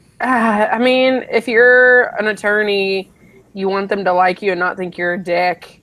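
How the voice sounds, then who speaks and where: A woman speaks with a slight Southern US accent. Her pace is fairly slow. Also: medium pitch for a woman, ordinary pitch variation. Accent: slight Southern, by own account. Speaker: law student. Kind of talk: casual chat.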